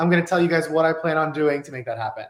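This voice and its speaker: The speaker is a man with a high-pitched voice. His tone is animated. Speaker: med spa business owner. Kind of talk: webinar training presentation. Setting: office, video webinar. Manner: fast.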